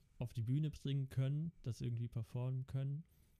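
Fairly even intonation in the dark, mellow tone of a man's voice. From Netherlands, Amsterdam. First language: Dutch (speaking German). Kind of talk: casual chat.

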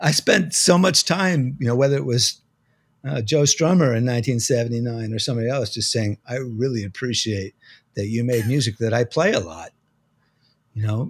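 At a moderate pace, a man with an American accent and a somewhat breathy, medium-pitched voice uses lively intonation, captured in a very clean recording with a silent background. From New Jersey. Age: 50s. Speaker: music magazine editor and drummer. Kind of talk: interview conversation.

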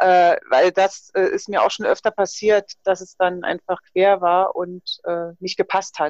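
A woman at medium pitch, very slow and monotone with hardly any pauses, in a dry, close sound with no echo. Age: 50s. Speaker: fitness trainer and nutrition coach. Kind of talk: casual interview.

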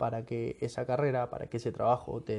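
A man's somewhat breathy voice with a dark, mellow tone. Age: 20s. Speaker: podcaster. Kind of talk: personal reflective monologue. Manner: casual, hesitant with fillers.

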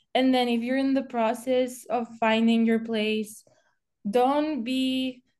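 A woman with a Spanish accent talks slowly-ish, at a fairly slow pace, in a flat monotone at a fairly high pitch over a quiet background. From Spain. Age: 20s. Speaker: college golfer. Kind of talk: podcast interview.

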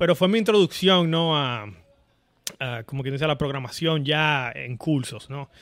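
In an ordinary speaking voice, a man talks at a moderate pace and a fairly high pitch with ordinary pitch variation. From Dominican Republic, Santo Domingo area. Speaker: software engineer. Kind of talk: casual interview.

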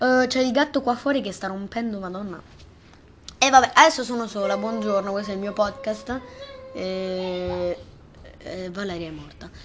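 Amid noticeable background noise, a woman speaks in an animated tone at a moderate pace, with long, frequent pauses. Her medium pitch varies in an ordinary way, and her loudness swings widely. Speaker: amateur podcast host. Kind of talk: casual chat. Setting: bedroom.

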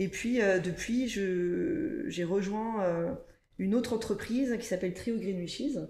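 A woman with a fairly high pitch and lively intonation talks at a very slow pace amid noticeable background noise and audible room echo. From France, Ardennes countryside. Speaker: operations director at a recycling company. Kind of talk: podcast interview.

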